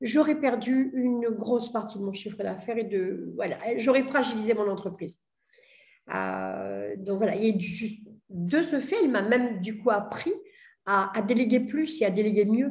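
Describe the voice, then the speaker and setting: Audible room echo surrounds a woman's voice with vocal fry. She speaks at a fairly slow pace and a fairly high pitch. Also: ordinary pitch variation. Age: 60s. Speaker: entrepreneur. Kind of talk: testimony. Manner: hesitant, many fillers.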